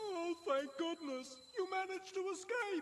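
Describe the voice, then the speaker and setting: The speaker puts on a character voice at an extremely high pitch. The pace is moderate, with clear background noise. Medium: fan dub. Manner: nervous, defensive.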